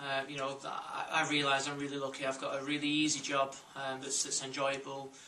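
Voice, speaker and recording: A man with a Lancashire accent speaks fairly quickly at a fairly high pitch, his intonation flat and monotone. Audible room echo and noticeable background noise surround his voice. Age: 20s. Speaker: football coach. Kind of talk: interview testimony.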